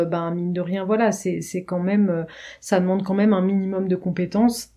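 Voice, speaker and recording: A woman speaks at medium pitch in a dark, mellow tone. Her intonation stays monotone and flat. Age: 30s. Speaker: marketing project manager. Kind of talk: casual chat. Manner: halting.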